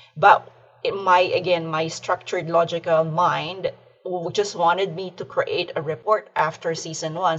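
The speaker has a slight Filipino accent, a moderate pace and fairly even intonation. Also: woman. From Philippines. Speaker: aquaculture podcast host, accountant. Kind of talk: casual interview.

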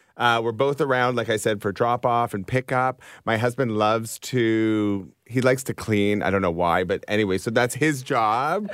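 On a very clean recording with a silent background, a man with a plain, everyday voice and medium pitch talks at a moderate pace with ordinary pitch variation and hardly any pauses. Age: 40s. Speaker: high school teacher and author. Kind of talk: casual chat.

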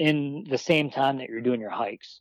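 With an American accent, a man speaks at a moderate pace and medium pitch, using ordinary pitch variation in a dry, close sound with no echo. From Wisconsin, US Midwest. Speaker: personal trainer and bowhunter. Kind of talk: casual interview. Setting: phone call.

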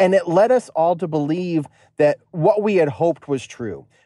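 A man with an American accent at a moderate pace, fairly high in pitch, with lively intonation, a dark, mellow tone, a dry, close sound with no echo, and a quiet background. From US Northeast. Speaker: podcast listener calling in. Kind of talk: voicemail story.

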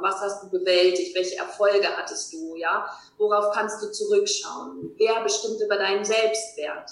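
Fairly slow pace from a woman, plus audible room echo. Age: 40s. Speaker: life coach. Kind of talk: interview.

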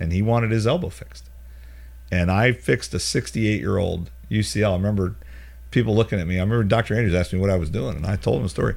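With an American accent, a man talks at a very fast pace in a very deep, low pitch, his voice swinging very widely and showing vocal fry. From US South (Charlotte, North Carolina). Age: 50s. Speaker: orthopedic surgeon. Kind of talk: casual interview.

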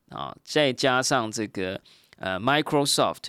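Lively in intonation, a man with a normal speaking voice talks at a medium pitch. The recording is very clean, with a silent background. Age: 40s. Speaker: podcast host. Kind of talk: solo podcast monologue.

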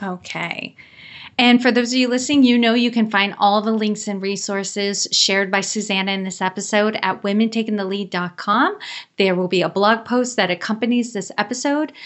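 With an ordinary speaking voice, a woman talks at a moderate pace and a fairly high pitch, with ordinary pitch variation. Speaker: podcast host. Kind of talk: interview.

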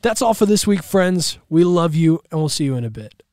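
On a very clean recording with a silent background, a man speaks in a fairly high pitch. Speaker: dungeon master. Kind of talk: tabletop role-playing game session, storytelling.

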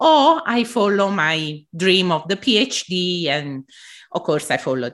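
A woman with an Italian accent talks at a fairly slow pace with very wide pitch swings, recorded very cleanly against a silent background. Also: medium pitch for a woman. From southern Italy. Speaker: embroidery artist and podcaster. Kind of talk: interview conversation. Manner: halting, with frequent fillers.

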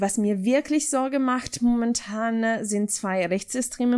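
Speaking fairly slowly with an Italian accent, a woman uses ordinary pitch variation in a very clean recording with a silent background. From Italy, Ferrara (Emilia-Romagna). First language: Italian (speaking German). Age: 20s. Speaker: political scientist, foundation staff member. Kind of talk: interview answering questions.

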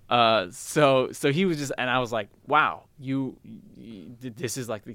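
In a very clean recording with a silent background, a man with a Californian accent and a bright, sharp tone speaks at a medium pitch with ordinary pitch variation. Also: hardly any pauses, big swings in loudness. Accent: Californian American English. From San Francisco, US West Coast. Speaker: solo theater performer and writer. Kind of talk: interview. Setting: newspaper archives basement.

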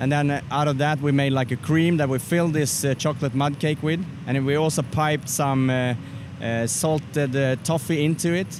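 With a Swedish accent, a man keeps very even loudness and fairly even intonation. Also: fairly high pitch for a man, moderate pace. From Sweden. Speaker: barbecue competitor. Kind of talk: casual interview. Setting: outdoors at barbecue festival.

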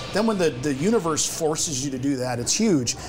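Noticeable background noise runs under this recording. A man speaks in a fairly high pitch. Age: 50s. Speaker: law enforcement training company executive. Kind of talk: casual chat.

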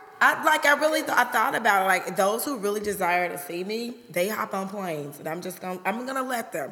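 Noticeable background noise behind a woman's medium-pitched, fairly quick speech, with hardly any pauses and big swings in loudness. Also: lively intonation. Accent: American. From US Midwest, Chicago South Side. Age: 40s. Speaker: hairstylist and podcast co-host. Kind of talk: casual chat.

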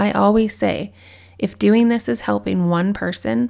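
A woman with a warm tone speaks at a moderate pace on a very clean recording with a silent background. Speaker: podcast host. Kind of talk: solo podcast episode, personal farewell monologue. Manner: emotional, warm, sincere.

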